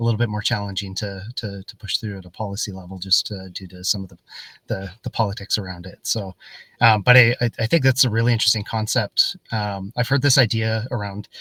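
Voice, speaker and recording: In an American accent, a man talks at a fairly quick pace with a fairly low pitch, fairly even intonation and a bright, sharp tone. His loudness swings widely, and the sound is dry and close with no echo. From Canada or the US. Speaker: podcast host. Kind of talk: interview. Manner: halting, many repeated words.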